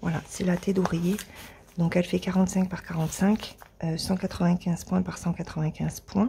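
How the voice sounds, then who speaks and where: A woman speaks at a moderate pace with a fairly low pitch and a dark, mellow, somewhat breathy tone. Her intonation is monotone and flat. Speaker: crafting youtuber. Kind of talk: unboxing video. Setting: at home, early morning. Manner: hesitant, many filler words; quiet, avoiding raising voice. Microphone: mic at mouth height, may sound quiet.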